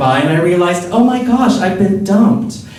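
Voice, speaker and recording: The tone is playful, with noticeable background noise. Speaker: drag performer. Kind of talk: live spoken word storytelling. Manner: campy, playful, witty.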